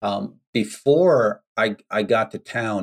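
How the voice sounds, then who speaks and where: On a very clean recording with a silent background, a man with an American accent has an unremarkable speaking voice at medium pitch, with ordinary pitch variation and a dry, close sound with no echo. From United States. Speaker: entrepreneur and teacher. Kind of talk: interview.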